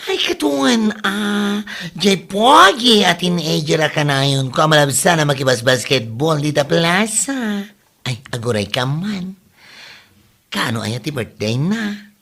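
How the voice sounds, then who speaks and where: In a put-on character voice of middle pitch, the speaker goes at a fairly slow pace. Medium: short film. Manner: lively, chatty.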